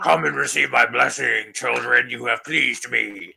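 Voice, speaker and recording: A man puts on a raspy character voice. He talks at a moderate pace. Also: very deep, low pitch for a man. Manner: menacing, sinister.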